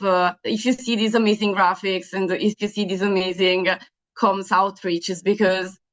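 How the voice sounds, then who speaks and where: A woman speaks at a moderate pace with medium pitch. Her intonation is monotone and flat. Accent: Italian. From Italy. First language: Italian. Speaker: young women's health advocate, event moderator. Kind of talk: webinar moderation. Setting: video call webinar. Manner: hesitant, many fillers.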